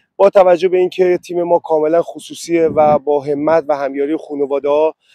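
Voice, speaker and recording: In a dry, close sound with no echo, a man with a fairly high pitch and a dark, mellow tone speaks in a monotone, flat intonation. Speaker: football club owner and head coach. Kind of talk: interview statement. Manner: hesitant with frequent fillers.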